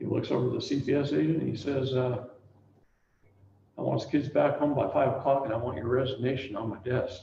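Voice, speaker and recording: Speaking fairly quickly but with long, frequent pauses, a man uses a medium pitch and a dark, mellow tone with vocal fry, and audible room echo surrounds him. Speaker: seminar speaker on family court and CPS. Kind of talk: talk to a live audience. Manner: animated storytelling.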